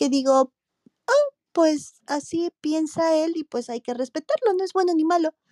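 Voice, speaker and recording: A woman's dark, mellow tone and lively intonation in a dry, close sound with no echo. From Mexico, Morelia, Michoacán. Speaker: marketing executive. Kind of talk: interview.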